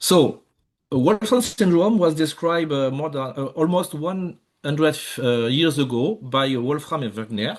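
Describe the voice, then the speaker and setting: A man with a French accent talks at a moderate pace in a fairly high pitch, his intonation lively. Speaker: research scientist. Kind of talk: lecture. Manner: halting, many fillers.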